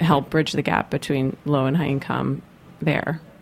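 A woman speaks at a moderate pace with vocal fry, a very deep, low pitch and fairly even intonation. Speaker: radio host. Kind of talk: radio interview. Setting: studio. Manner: loud.

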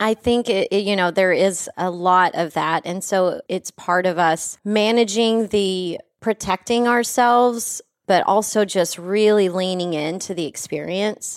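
A woman with an American accent and an unremarkable speaking voice talks at a fairly slow pace and medium pitch, with ordinary pitch variation and hardly any pauses, on a very clean recording that sounds dry and close with no echo and a silent background. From West Texas. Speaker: podcast host, cannabis lifestyle guide. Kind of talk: casual chat. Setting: studio.

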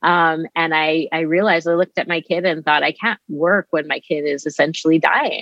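With a Canadian accent and a plain, everyday voice, a woman speaks at a fairly low pitch and a moderate pace, with hardly any pauses and fairly even intonation. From Canada, Winnipeg, Manitoba. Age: 40s. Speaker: physician. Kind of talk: interview.

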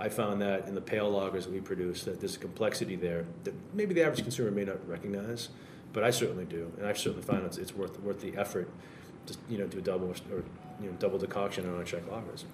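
A man with a fairly low voice talks at a very fast pace and with fairly even intonation over noticeable background noise. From Massachusetts, Salem area. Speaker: brewery owner and brewer. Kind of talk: casual chat. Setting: brewery tap room, remote mic.

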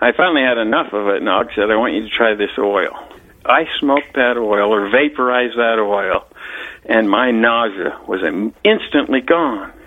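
A man talks at a moderate pace with ordinary pitch variation. Noticeable background noise runs under his voice. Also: medium pitch for a man. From Utah, Salt Lake City. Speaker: retired police officer. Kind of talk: interview, personal story.

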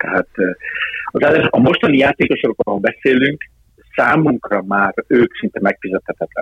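A plain, everyday voice moves fairly briskly with lively intonation. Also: man. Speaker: football sporting director. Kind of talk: interview.

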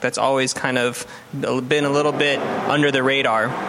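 Noticeable background noise runs under a man whose intonation stays fairly even. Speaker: chef and podcast host. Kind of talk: interview.

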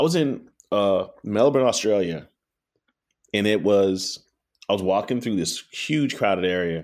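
A man with a South Carolina accent, fairly low in pitch, with lively intonation and long, frequent pauses, on a very clean recording with a silent background. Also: fairly slow pace. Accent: Southern US (South Carolina). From US South, Pee Dee region of South Carolina. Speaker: pitmaster and restaurateur. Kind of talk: interview conversation.

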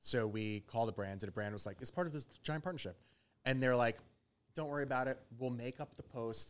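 In a normal speaking voice with an American accent, a man at medium pitch talks fairly quickly with ordinary pitch variation. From New York (Westchester). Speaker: food influencer. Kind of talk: casual chat.

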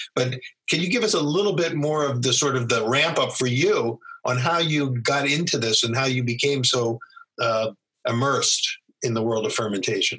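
A plain, everyday voice, a man at a fairly high pitch and moderate pace, with ordinary pitch variation and very even loudness. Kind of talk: casual interview. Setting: video call.

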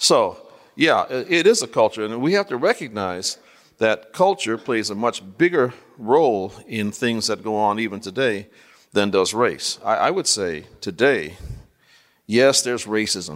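A man with a plain, everyday voice talks at a medium pitch with lively intonation. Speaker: theologian and author. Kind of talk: panel discussion. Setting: stage with audience.

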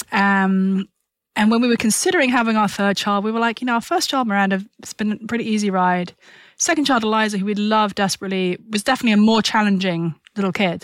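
A very fast, medium-pitched woman's voice with ordinary pitch variation, on a very clean recording with a silent background. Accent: British. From UK. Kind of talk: podcast interview.

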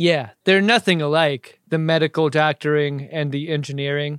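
This man has a normal speaking voice, pitched fairly high, with ordinary pitch variation at a moderate pace. The sound is dry and close with no echo, and the recording is very clean over a silent background. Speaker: podcast co-host. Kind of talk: casual chat.

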